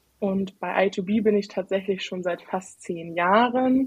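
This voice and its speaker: A somewhat breathy woman's voice at a medium pitch. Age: 20s. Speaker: IT consultant. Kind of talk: podcast interview.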